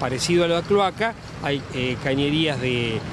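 Over clear background noise, the speech moves at a moderate pace with lively intonation. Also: man, fairly high pitch for a man.

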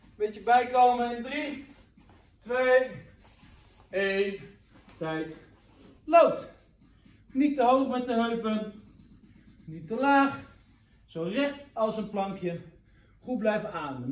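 Delivered at a very slow pace, the speech has long, frequent pauses and big swings in loudness, with audible room echo. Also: man. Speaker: kickboxing coach. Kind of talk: workout instruction and counting. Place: gym. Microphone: camera far.

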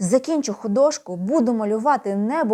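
Talking at a moderate pace, a woman with a fairly high pitch has a dark, mellow tone. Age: 50s. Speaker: video blogger. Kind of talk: casual vlog monologue. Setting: at home at night.

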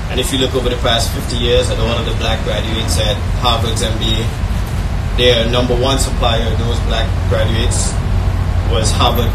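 Loud background noise runs beneath a man's speech. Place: tent. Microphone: pa.

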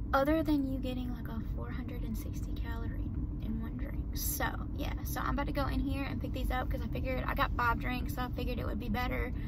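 Loud background noise runs beneath speech delivered at a fairly quick pace. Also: woman. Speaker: vlogger. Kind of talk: casual vlog chat. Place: car. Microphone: phone near.

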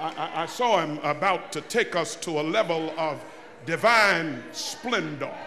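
A man's high-pitched voice at a fairly slow pace, with ordinary pitch variation and light background noise. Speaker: preacher. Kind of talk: sermon. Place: church. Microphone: podium.

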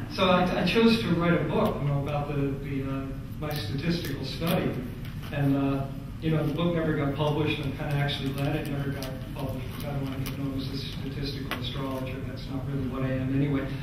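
A man speaks at a very fast pace amid strong room echo and noticeable background noise. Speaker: astrologer. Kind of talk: conference talk. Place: hall.

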